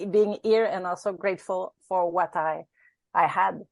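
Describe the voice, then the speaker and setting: A woman with a Quebec accent, medium-pitched and fairly even in intonation, at a fairly slow pace, in a dry, close sound with no echo against a quiet background. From Quebec, Canada. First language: French. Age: 50s. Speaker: ultrarunner. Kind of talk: interview. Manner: halting.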